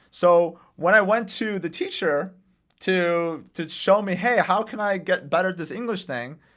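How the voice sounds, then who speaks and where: Speaking at a fairly slow pace with a non-native accent, a man has a high pitch, heard on a very clean recording with a silent background. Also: ordinary pitch variation. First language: not English. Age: 20s. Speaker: real estate investor and author. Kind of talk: podcast interview. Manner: casual.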